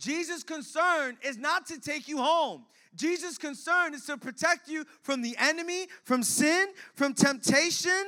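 A man speaks in a raised, projected voice at an extremely high pitch, with a bright, sharp, animated tone. His pace is fairly slow, his pitch variation ordinary, and his loudness swings widely. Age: 20s. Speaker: pastor. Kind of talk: sermon. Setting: church.

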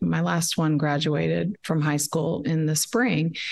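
A woman with an American accent speaks at a moderate pace in a fairly low pitch with vocal fry. The background is quiet. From Texas, Dallas. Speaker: education activist. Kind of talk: interview. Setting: remote call from a quiet room.

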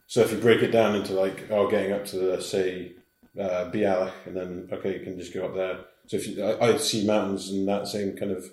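A man with a Scottish accent talks fairly quickly in a flat monotone. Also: fairly low pitch for a man. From Scottish Highlands. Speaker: hill walker. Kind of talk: casual interview chat.

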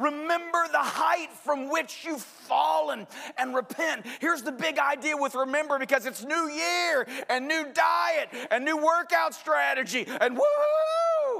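A man shouts at an extremely high pitch. His pace is fairly slow, with ordinary pitch variation. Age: 40s. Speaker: pastor. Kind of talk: sermon. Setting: church with congregation.

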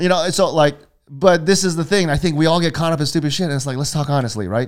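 Talking very fast in an American accent, a man with a fairly high pitch uses ordinary pitch variation. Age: 50s. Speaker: podcast host. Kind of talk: casual chat. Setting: live stream.

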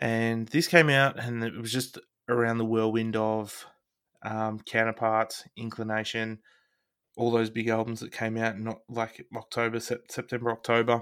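In an Australian accent, a man at medium pitch speaks with monotone, flat intonation. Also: moderate pace. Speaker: podcast co-host. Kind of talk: casual chat.

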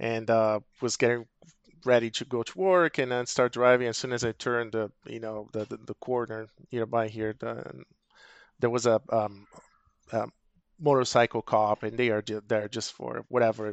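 This man speaks with a Portuguese accent. His pitch sits at a medium level. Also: fairly even intonation, moderate pace. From Brazil. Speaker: technical account manager. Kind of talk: casual chat.

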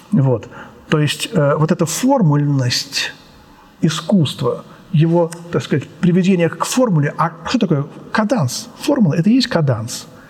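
A man's high voice with very wide pitch swings, very even loudness and long, frequent pauses, over noticeable background noise. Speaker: composer and music lecturer. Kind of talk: lecture. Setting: art gallery with glass ceiling. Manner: spontaneous, with fillers and hesitations.

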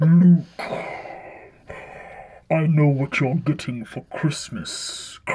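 A man puts on a character voice at a fairly high pitch. He speaks very slowly, with long, frequent pauses. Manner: dramatic, ominous.

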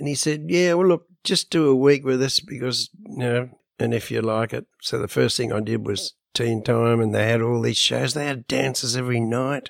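In an Australian accent, a man talks with ordinary pitch variation. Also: medium pitch for a man, moderate pace, dry, close sound with no echo. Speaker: rock drummer and author. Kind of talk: interview.

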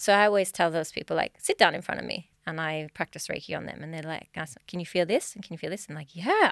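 A woman with an Australian accent, fairly low-pitched, at a very fast pace with hardly any pauses, fairly even intonation and big swings in loudness, in a very clean recording with a silent background and a dry, close sound with no echo. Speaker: mind-body healing practitioner. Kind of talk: podcast interview. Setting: studio.

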